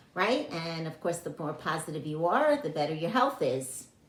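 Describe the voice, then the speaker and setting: In a room with audible echo, a woman with a fairly low pitch speaks at a moderate pace. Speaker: health and wellness teacher. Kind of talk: online class talk. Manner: halting, many fillers.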